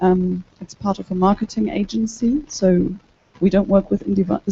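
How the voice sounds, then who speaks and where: Speaking at a moderate pace with a German accent, a woman has a medium pitch, a somewhat breathy sound, and ordinary pitch variation. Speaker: translator. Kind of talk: panel discussion.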